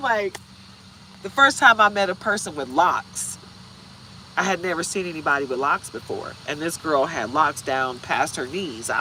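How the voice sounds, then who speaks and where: Someone speaks with a Midwestern accent at a moderate pace. Noticeable background noise runs underneath. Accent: Midwestern American, flat vowels. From Michigan.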